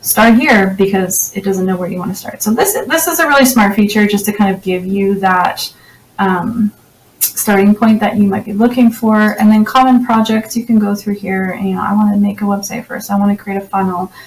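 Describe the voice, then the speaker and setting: At a fairly quick pace, a woman with a Canadian accent speaks in fairly even intonation. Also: medium pitch for a woman. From Canada. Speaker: website designer and tech reviewer. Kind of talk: software tutorial walkthrough. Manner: fast; casual, with frequent fillers.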